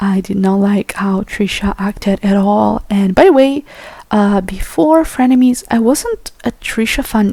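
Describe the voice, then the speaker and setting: A woman with a non-native accent and fairly high pitch, fairly slow pace, ordinary pitch variation, over noticeable background noise. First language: not English. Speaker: YouTuber. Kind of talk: rant. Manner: hesitant, many fillers.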